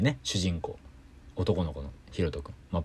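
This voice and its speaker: On a very clean recording with a silent background, a somewhat breathy man speaks at a moderate pace. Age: 30s. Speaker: singer-songwriter and podcast host. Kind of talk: casual solo chat. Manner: animated.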